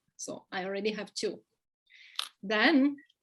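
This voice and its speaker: A woman speaks in an Italian accent. Her pace is fairly slow. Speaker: expat living in Belgium. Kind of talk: casual interview.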